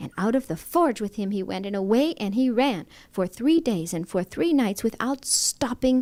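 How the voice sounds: The reading voice is a natural one.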